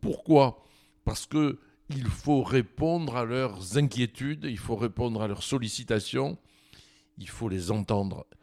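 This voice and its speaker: On a very clean recording with a silent background, a man speaks at medium pitch with a dark, mellow tone and lively intonation. His pace is very slow, with long, frequent pauses and big swings in loudness. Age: 70s. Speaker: winegrower. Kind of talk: interview. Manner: halting, with frequent repetitions and hesitations.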